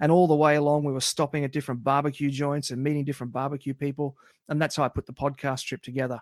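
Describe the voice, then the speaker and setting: A man with a fairly high pitch speaks in a monotone, flat intonation, recorded very cleanly with a silent background and a dry, close sound with no echo. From Australia, country towns. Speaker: barbecue podcast host. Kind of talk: casual interview.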